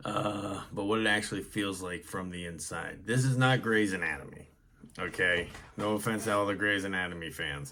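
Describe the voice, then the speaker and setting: In an American accent, a man speaks at a fairly low pitch and a moderate pace with ordinary pitch variation, and room echo is audible. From US Northeast. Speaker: mental health podcast host. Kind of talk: personal testimony monologue. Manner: hesitant with many fillers.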